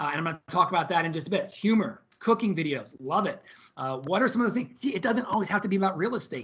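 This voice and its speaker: The words come at a very fast pace over a quiet background. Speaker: social media marketing trainer. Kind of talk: live webinar presentation. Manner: animated.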